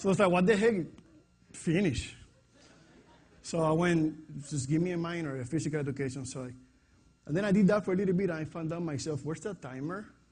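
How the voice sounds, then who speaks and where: A man with a strong Puerto Rican accent, fairly high in pitch, with ordinary pitch variation and long, frequent pauses. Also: fairly quick pace. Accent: heavy Puerto Rican Spanish. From Puerto Rico. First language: Spanish. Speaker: fitness coach. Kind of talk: presentation to an audience.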